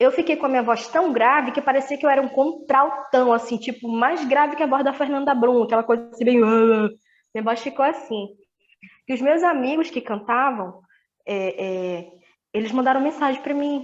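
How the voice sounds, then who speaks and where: A woman with a high pitch speaks using ordinary pitch variation. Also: moderate pace. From Manaus, Amazonas, Brazil. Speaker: gospel singer and mother of twins. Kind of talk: podcast interview, personal testimony.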